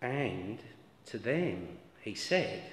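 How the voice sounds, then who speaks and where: Very wide pitch swings amid audible room echo. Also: man. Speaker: lay reader at a church service. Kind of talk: scripture reading. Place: church. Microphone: camera far.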